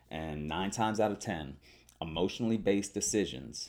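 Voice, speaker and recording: A man's vocal fry at a fairly quick pace. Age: 20s. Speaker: podcast host. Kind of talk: solo monologue reading listener responses. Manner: talkative, casual with fillers.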